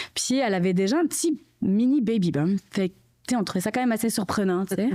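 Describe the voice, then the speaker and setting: A woman with a fairly high, dark, mellow voice speaks at a very fast pace with lively intonation and very even loudness on a very clean recording with a silent background. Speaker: mother of triplets. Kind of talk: casual chat.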